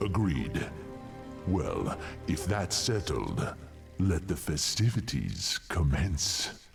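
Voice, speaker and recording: Over clear background music, a man in a put-on character voice speaks very slowly with a menacing tone, a very deep, low pitch, and long, frequent pauses. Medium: video game. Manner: haughty, menacing.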